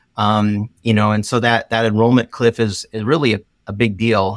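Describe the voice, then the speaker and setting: A plain, everyday voice from a man at a moderate pace, with a dry, close sound with no echo and a very clean recording with a silent background. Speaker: marketing consultant. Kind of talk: podcast interview.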